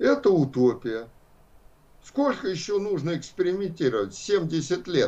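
Speaking at a fairly slow pace with vocal fry, a man uses lively intonation while audible room echo surrounds his voice. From Russia, Saint Petersburg. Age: 70s. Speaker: philosophy professor. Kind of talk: lecture.

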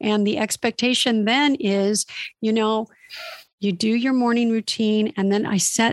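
In a dry, close recording with no echo, a woman with a fairly high pitch speaks at a moderate pace in an unremarkable speaking voice. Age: 50s. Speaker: former magazine model, self-help blogger. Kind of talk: casual interview.

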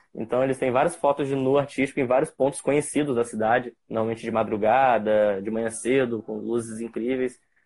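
A man talks at a fairly quick pace with hardly any pauses. His pitch sits in the medium range. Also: fairly even intonation. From interior of Rio de Janeiro state, Brazil. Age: 20s. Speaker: photographer. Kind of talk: casual interview on a live stream. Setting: remote live stream.

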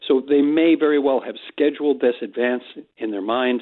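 A man with an ordinary speaking voice and a fairly quick pace. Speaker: news editor and correspondent. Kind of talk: radio interview.

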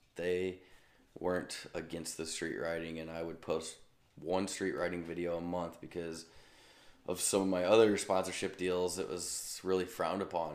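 With a Midwestern American accent, a man speaks in a very deep, low voice, flat and monotone, at a moderate pace amid audible room echo. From US Midwest, St. Louis, Missouri. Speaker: stunt motorcycle rider. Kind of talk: casual interview. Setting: video call.

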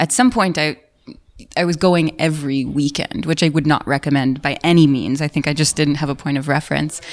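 Speaking fairly quickly with an American accent, a woman uses a very deep, low pitch and fairly even intonation. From New York City. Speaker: author and psychedelics researcher. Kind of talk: casual interview. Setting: at a conference in London.

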